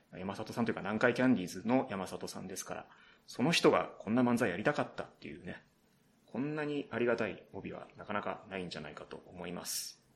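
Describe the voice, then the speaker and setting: Against noticeable background noise, a man with medium pitch talks at a very fast pace, his intonation lively and his loudness swinging widely. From Saitama, Japan. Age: 30s. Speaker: radio writer and novelist. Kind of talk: solo podcast talk. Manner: casual, with frequent fillers and laughter. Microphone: poor sound quality.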